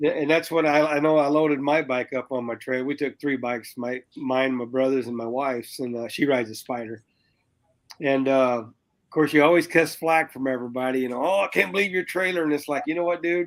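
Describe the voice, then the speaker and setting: A man with a plain, everyday voice speaks at a fairly quick pace in a fairly high pitch with ordinary pitch variation, in a very clean recording with a silent background. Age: 60s. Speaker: biker. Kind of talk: casual chat.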